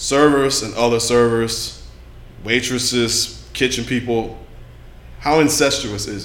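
Big swings in loudness mark this man's speech, delivered at a fairly slow pace. Audible room echo fills the recording. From Louisiana. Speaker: podcast host. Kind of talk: casual chat.

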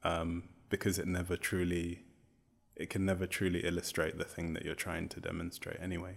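Monotone and flat, a man speaks with a very deep, low pitch. His pace is fairly quick. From Zambia, then Newcastle. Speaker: poet and creative writing professor. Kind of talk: conversational interview about poetry.

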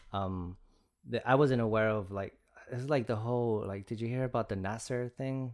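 A man with a Spanish accent, medium pitch, fairly even intonation, and a moderate pace. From Chicago Heights, Illinois. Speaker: visual artist. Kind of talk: casual interview chat. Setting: studio. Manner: casual, conversational.

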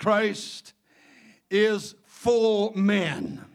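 With a Mississippi accent, a man speaks at a high pitch with fairly even intonation. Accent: Southern US (Mississippi). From Mississippi Gulf Coast, US South. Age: 70s. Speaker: Pentecostal bishop and preacher. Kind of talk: sermon. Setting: church with congregation.

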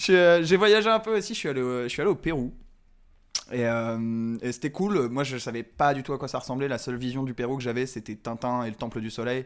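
A man with a normal speaking voice uses lively intonation at a moderate pace, captured in a very clean recording with a silent background. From Paris. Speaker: comedian. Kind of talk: casual chat.

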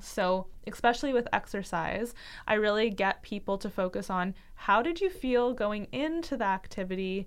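A woman speaks in an ordinary speaking voice with a Canadian accent, her pitch fairly high and its variation ordinary, against a quiet background. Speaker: dietitian and podcast co-host. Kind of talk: casual chat.

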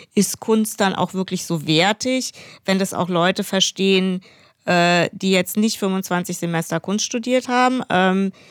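In a dry, close recording with no echo, a woman speaks very slowly at a medium pitch, her intonation fairly even. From Hesse, near Frankfurt. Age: 50s. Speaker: painter and illustrator. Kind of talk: interview conversation.

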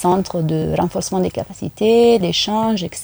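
A woman with an Italian accent talks at a moderate pace in a medium pitch with ordinary variation. Her tone is dark and mellow, and the sound is dry and close with no echo. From Italy, Rome. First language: Italian (speaking French). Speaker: UN gender unit head. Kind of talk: radio interview. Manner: hesitant, many fillers.

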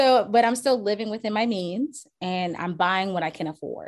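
A woman's ordinary speaking voice with an American accent, lively intonation and a moderate pace, on a very clean recording with a silent background. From Charleston, South Carolina. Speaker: real estate agent. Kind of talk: interview.

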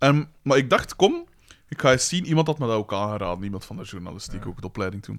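At a very fast pace, a man speaks with a fairly low pitch and very wide pitch swings. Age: 30s. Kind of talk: casual chat.

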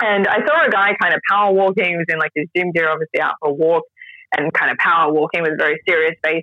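A woman's fairly low voice at a very fast pace, with very even loudness. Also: fairly even intonation. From Australia. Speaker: radio professional and expat traveler. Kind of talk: casual interview. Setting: video call from Japan.

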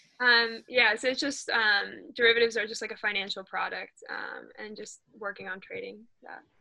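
With an American accent, a woman talks at a moderate pace with hardly any pauses and big swings in loudness. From Northern Virginia, US. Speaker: college field hockey player. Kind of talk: interview.

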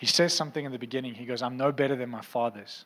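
A man speaks fast at a medium pitch. His tone is fairly bright, with ordinary pitch variation.

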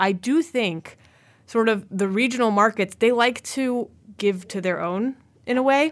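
A woman with a fairly high pitch speaks in a plain, everyday voice. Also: ordinary pitch variation, fairly slow pace. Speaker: admissions dean, podcast host. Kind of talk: casual interview.

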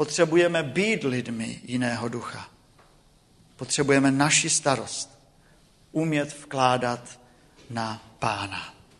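A man at medium pitch with ordinary pitch variation, speaking at a very slow pace with long, frequent pauses amid audible room echo. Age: 40s. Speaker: preacher. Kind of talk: sermon. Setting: church.

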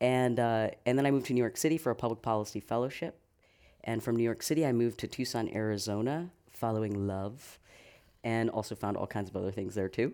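With an American accent, a man speaks at a very fast pace and medium pitch, his pitch varying in an ordinary way. His tone is dark and mellow, in a very clean recording with a silent background. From Massachusetts, south of Boston. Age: 40s. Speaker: writer and former policy advisor. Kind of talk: panel interview.

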